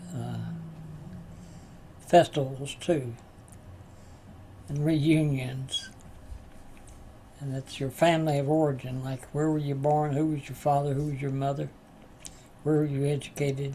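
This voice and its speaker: A man with an Appalachian accent talks fairly slowly in a monotone, flat intonation. Long pauses come often. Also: fairly high pitch for a man. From West Virginia. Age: 80s+. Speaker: spiritual teacher and recovery class leader. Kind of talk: class talk with personal stories. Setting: live online class. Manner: halting, many fillers.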